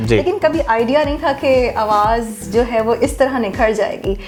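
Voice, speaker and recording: Music sits in the background. Over it, a woman speaks at a fairly high pitch. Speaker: voice-over artist; radio host. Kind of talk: interview answer.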